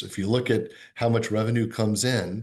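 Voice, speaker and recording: A man speaks at a fairly low pitch, somewhat breathy. The background is quiet. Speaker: diplomat. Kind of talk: interview. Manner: fast; halting.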